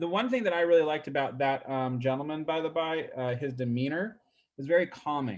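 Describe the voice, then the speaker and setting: A man's fairly high voice moves with lively intonation. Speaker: real estate agent. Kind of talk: casual, conversational. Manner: fast talker, excitable.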